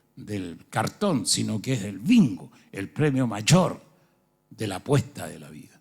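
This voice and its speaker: A man talks with vocal fry. His pitch moves in very wide swings. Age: 70s. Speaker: pastor. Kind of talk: sermon.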